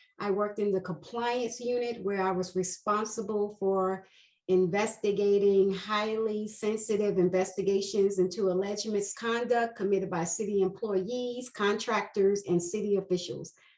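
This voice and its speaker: With an American accent, a woman speaks at medium pitch and a moderate pace in a monotone, flat way. She hardly pauses, and noticeable background noise is present. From New York, Queens. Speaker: investigations manager. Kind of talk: interview.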